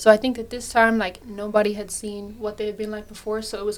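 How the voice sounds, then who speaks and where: The speaker has a Dublin accent and monotone, flat intonation at a fairly quick pace, with noticeable background noise. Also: woman. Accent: Irish (Dublin). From Ireland, Dublin. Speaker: university student. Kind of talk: casual chat.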